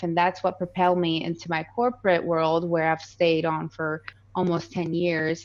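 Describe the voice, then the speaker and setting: Against a quiet background, a woman with a slight Colombian accent speaks at a moderate pace, her pitch fairly low and her intonation fairly even. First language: Spanish. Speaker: real estate investor. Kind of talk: podcast interview.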